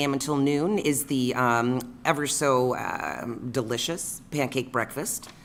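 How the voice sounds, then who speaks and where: Speaking at a fairly slow pace with hardly any pauses, a woman with a very deep, low voice shows ordinary pitch variation as audible room echo surrounds her. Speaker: city council member. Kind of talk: council meeting report. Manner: hesitant, filler-heavy.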